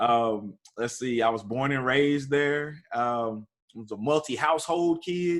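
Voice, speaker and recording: A man speaks at a fairly slow pace with an East Texas accent. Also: medium pitch for a man, ordinary pitch variation. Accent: East Texas Southern US. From East Texas (Tyler). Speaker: university student affairs administrator. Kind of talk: podcast interview.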